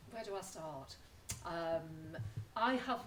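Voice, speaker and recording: A woman with a Lancashire accent, fairly slow, with very wide pitch swings and audible room echo. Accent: Lancashire accent, noticeable. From northern England, Lancashire. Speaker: retired teacher and environmental educator. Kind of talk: talk to an audience.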